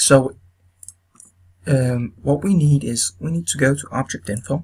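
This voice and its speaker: A man with a non-native accent, a somewhat breathy voice, a fairly slow pace and ordinary pitch variation. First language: not English. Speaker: video game tutorial maker. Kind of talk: tutorial. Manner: halting, many fillers.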